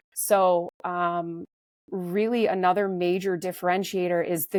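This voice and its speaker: A woman speaks in a normal speaking voice at a medium pitch with fairly even intonation, recorded very cleanly against a silent background with a dry, close sound and no echo. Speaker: supplement company co-founder. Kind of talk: interview. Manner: casual with fillers.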